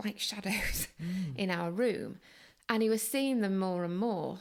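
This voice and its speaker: With a Manchester accent, a woman speaks at a very slow pace. Her pitch variation is ordinary. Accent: Northern English (Manchester). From Manchester, England. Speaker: journalist and author. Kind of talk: interview answer.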